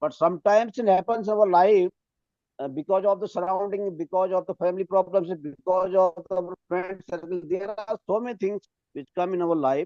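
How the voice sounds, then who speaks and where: The speaker has an Indian accent. The pace is moderate. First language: Hindi. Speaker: English teacher. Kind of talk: testimony; panel talk. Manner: halting.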